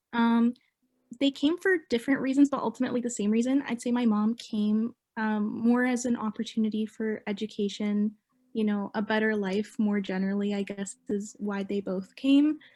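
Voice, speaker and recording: With a Canadian accent, the dark, mellow, somewhat breathy voice moves at a moderate pace with fairly even intonation. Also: woman, fairly high pitch for a woman. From Mississauga, Ontario, Canada. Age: 20s. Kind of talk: oral history interview answer.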